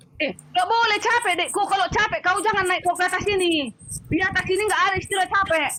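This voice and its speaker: With noticeable background noise behind her, a woman speaks in a raised, projected voice at a very fast pace, her pitch extremely high with ordinary variation, her tone angry and her loudness very even. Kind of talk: heated debate. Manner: loud, sounds angry by nature; forceful, interrupting.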